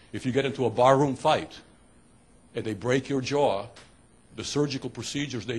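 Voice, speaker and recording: A man's somewhat breathy voice with fairly even intonation over light background noise. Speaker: host introducing a seminar speaker. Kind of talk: speaker introduction. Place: classroom. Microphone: handheld.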